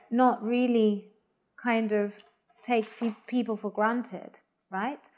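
A woman speaks with fairly even intonation. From Spain, Madrid. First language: Spanish. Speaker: arts organisation programme head. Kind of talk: interview. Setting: at home. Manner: hesitant, many fillers.

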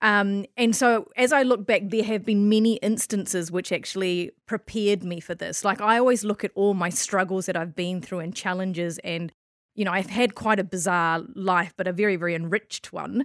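With a New Zealand accent, a woman speaks at a medium pitch with ordinary pitch variation and hardly any pauses, the sound dry and close with no echo. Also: moderate pace. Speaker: spiritual healer and businesswoman. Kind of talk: casual interview.

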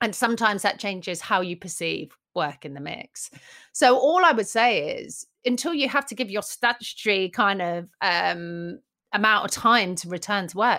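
Recorded very cleanly over a silent background, a bright, sharp voice with a British accent moves at a moderate pace, with very wide pitch swings and big swings in loudness. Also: woman. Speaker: magazine editor. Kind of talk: casual interview chat.

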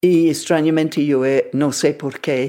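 A woman with an English accent speaks at a very slow pace, her very deep, low pitch and dark, mellow tone heard in a very clean recording with a silent background. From England. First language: English (speaking Spanish). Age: 80s+. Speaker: traveler and writer. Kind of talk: personal storytelling interview.

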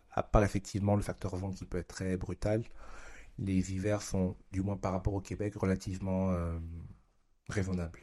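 A man speaks with a fairly low pitch and a dark, mellow tone. His intonation stays fairly even, and the recording is very clean with a silent background. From Burkina Faso, partly raised in Japan. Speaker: father. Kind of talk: casual interview.

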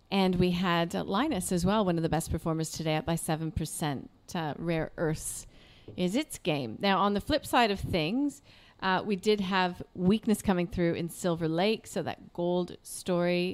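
A woman speaks fairly slowly in an Australian accent, her pitch fairly low. The recording is very clean, with a silent background. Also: ordinary pitch variation. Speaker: business news podcast host. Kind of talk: market news discussion. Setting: studio.

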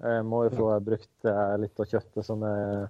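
A man is speaking. His pitch is fairly low. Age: 30s. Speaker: hunter and caterer. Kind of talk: interview.

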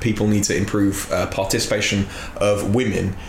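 There is noticeable background noise. Over it, a man speaks at a fairly low pitch. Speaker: podcast host. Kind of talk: casual chat.

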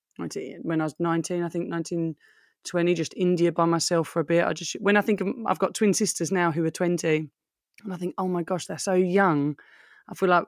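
A woman with a British accent speaks at a fairly low pitch with fairly even intonation, in a dry, close, very clean recording with a silent background and no echo. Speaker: fashion brand owner. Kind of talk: casual chat.

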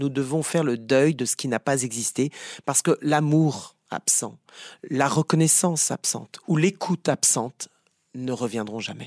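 In a plain, everyday voice with ordinary pitch variation, the speaker is heard on a very clean recording with a silent background and a dry, close sound with no echo. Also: man. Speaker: psychotherapist. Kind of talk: interview.

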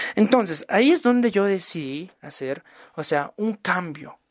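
A man speaks with lively intonation in a dry, close sound with no echo on a very clean recording with a silent background. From Bolivia. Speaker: podcast host. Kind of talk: podcast monologue and interview.

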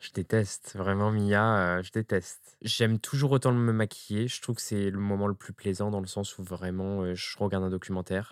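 In a very clean recording with a silent background and a dry, close sound with no echo, a man with an unremarkable speaking voice talks at a moderate pace in a fairly low pitch, with fairly even intonation and hardly any pauses. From France, Ardèche. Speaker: drag queen and makeup artist. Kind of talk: casual interview. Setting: drag workshop.

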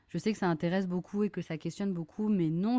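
A fairly low-pitched woman's voice with a dark, mellow tone and ordinary pitch variation, dry and close with no echo, on a very clean recording with a silent background. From Brittany, France (Lorient). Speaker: kindergarten teacher, podcast host. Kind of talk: personal storytelling monologue. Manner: casual, many hesitations.

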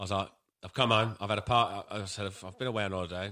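A man with a British accent talks very fast at a fairly low pitch, his tone bright and sharp. His intonation stays fairly even, and the recording is very clean with a silent background. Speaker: podcast co-host. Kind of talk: casual chat.

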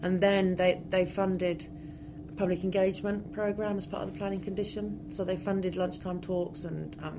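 A woman talks at a fairly quick pace with a fairly low pitch and fairly even intonation. Room echo is audible and background noise is noticeable. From West Country, England. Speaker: archaeologist. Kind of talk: interview.

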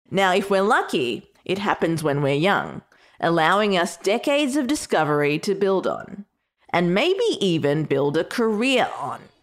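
Speaking at a fairly slow pace with an Australian accent, the voice makes very wide pitch swings. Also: woman, medium pitch for a woman. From Australia (Melbourne, Sri Lankan heritage). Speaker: podcast host. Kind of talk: scripted narration.

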